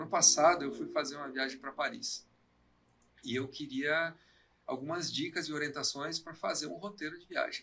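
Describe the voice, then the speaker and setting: A man speaks with a fairly high pitch, a bright, sharp tone and ordinary pitch variation. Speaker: technology and education specialist. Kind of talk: live podcast conversation. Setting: live stream.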